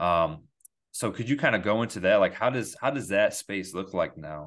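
Against a quiet background, a man speaks fairly quickly. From Endicott, upstate New York. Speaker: podcast host. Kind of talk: casual interview chat.

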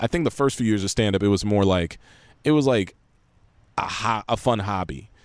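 A man with an American accent talks with lively intonation. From Los Angeles, San Fernando Valley. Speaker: actor and YouTuber. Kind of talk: casual chat. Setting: late-night podcast in a yard.

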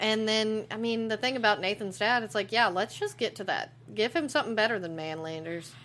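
A woman with an ordinary speaking voice, fairly high pitch, ordinary pitch variation and hardly any pauses. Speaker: podcast co-host. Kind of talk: casual chat.

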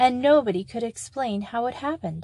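The woman's voice is somewhat breathy with a dark, mellow tone, and she speaks at a moderate pace. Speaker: audiobook narrator. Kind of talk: scripted fairy-tale narration, read aloud. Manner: steady, storyteller pacing, formal.

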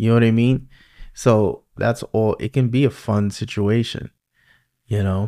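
A man of medium pitch speaks in a flat monotone with a New York accent, leaving long, frequent pauses, in a dry, close sound with no echo on a very clean recording with a silent background. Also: fairly slow pace. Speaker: podcast host. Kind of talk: casual interview chat.

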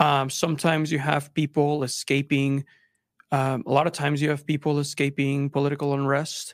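On a very clean recording with a silent background, a man in a Spanish accent speaks at a fairly high pitch and moderate pace in a monotone, flat intonation. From Mexico (Monterrey), raised in Texas from age nine. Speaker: filmmaker. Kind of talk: podcast interview. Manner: halting, many repeated words and fillers.

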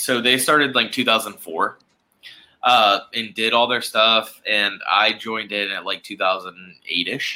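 Very slow and fairly even in intonation, a man speaks at a medium pitch with a bright, sharp tone. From US South, Charleston, South Carolina. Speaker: actor. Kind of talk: casual chat.

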